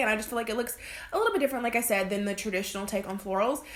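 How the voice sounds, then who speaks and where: Over noticeable background noise, a woman talks at a fairly high pitch. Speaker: fashion YouTuber. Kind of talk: try-on haul vlog. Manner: fast; animated.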